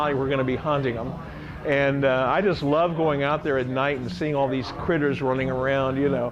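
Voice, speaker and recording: A man speaks at a fairly quick pace in a fairly high voice with ordinary pitch variation, with audible room echo and noticeable background noise. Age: 60s. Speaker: rock musician and songwriter. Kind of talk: interview. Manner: casual, hesitant with many fillers.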